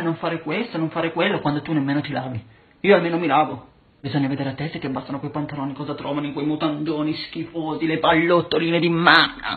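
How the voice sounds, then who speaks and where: A man talking at a fairly quick pace. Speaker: social media creator. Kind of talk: mocking rant vlog. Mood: mocking, scornful. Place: home room. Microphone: phone near.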